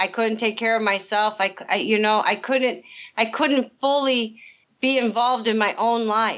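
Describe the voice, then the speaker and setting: A woman speaks in an American accent at a fairly high pitch. Her pace is moderate and her loudness very even. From US Midwest, rural northern Illinois. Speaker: recovering alcoholic, recovery coach. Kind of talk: interview testimony. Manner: halting, repetitive.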